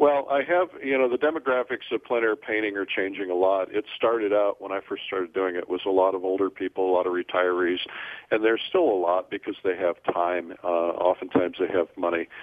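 An unremarkable speaking voice from a man with an American accent, fairly low in pitch, with ordinary pitch variation at a fairly quick pace. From US Midwest. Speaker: entrepreneur and publisher. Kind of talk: interview.

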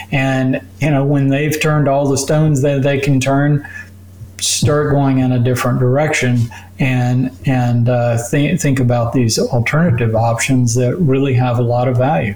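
Against noticeable background noise, a man at medium pitch talks at a moderate pace, his loudness very even and his intonation fairly even. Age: 60s. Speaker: doctor. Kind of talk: interview explaining medical topics.

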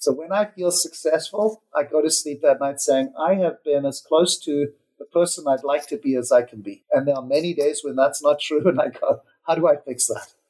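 The tone is dark and mellow, with ordinary pitch variation and a moderate pace. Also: man. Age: 50s. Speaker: wealth management executive. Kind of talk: interview.

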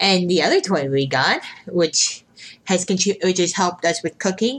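At a moderate pace, a woman of medium pitch speaks in a plain, everyday voice. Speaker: podcast host. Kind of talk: casual chat.

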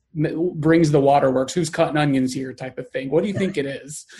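The voice is somewhat breathy, with a dark, mellow tone. It carries a Texan accent. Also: man. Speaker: podcast host. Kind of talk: casual interview. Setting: video call.

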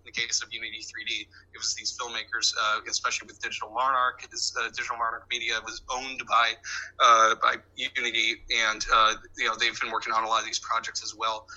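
A man at a very fast pace, over noticeable background noise. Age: 40s. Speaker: reality TV editor. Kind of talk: interview. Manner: halting.

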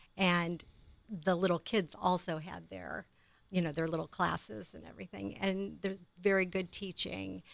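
A woman talks at a moderate speed in a very clean recording where the background is silent. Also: big swings in loudness. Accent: American. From Ohio, Akron. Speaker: nurse. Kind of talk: casual chat.

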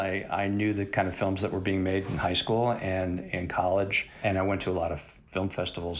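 Someone with an American accent talks at a fairly quick pace in an unremarkable speaking voice. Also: man. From US Midwest, Chicago. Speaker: cinematographer. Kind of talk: interview.

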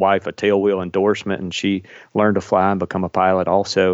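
In a Kentucky accent, a man speaks at a moderate pace with a very deep, low pitch. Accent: Kentucky Southern US. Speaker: airline pilot. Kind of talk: casual interview. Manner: warm, enthusiastic.

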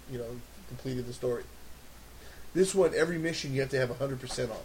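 The man's voice sits at a medium pitch, with fairly even intonation. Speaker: podcast co-host. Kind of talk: casual chat.

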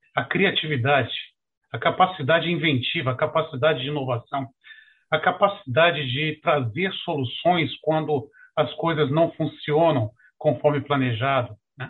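A man with a plain, everyday voice speaks fairly slowly. His pitch is fairly high, with ordinary variation. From Rio de Janeiro, Brazil. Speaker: retired federal judge. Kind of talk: webinar presentation.

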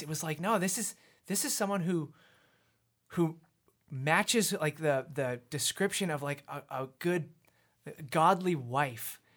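On a very clean recording with a silent background, a man with a Canadian accent speaks at a high pitch. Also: long, frequent pauses. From Canada, British Columbia (Abbotsford). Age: 30s. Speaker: worship pastor. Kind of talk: casual chat.

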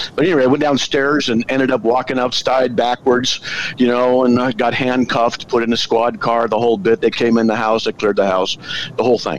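Fairly quick, fairly even speech at a very even loudness, over noticeable background noise. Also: man, medium pitch for a man. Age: 60s. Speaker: apologist. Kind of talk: casual chat.

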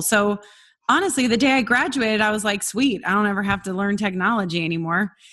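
Using a normal speaking voice, this woman talks at a medium pitch that varies in an ordinary way. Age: 40s. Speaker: success coach. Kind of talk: interview.

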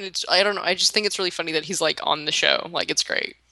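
The voice has a bright, sharp tone and a Southern US accent. Its pitch varies in an ordinary way. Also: woman. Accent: Southern US, pin-pen merger. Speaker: co-host podcaster. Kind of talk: casual podcast chat about a show.

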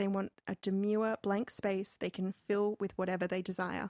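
The delivery is monotone and flat at a moderate pace. The sound is dry and close with no echo, over a quiet background. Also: woman. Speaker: podcast co-host. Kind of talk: casual chat.

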